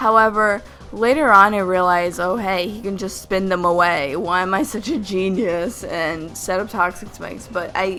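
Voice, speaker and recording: Over music in the background, a woman with a medium-pitched voice speaks at a moderate pace with hardly any pauses. There is audible room echo, and her pitch varies an ordinary amount. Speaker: gaming youtuber. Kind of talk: gameplay commentary. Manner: stumbling over words; casual.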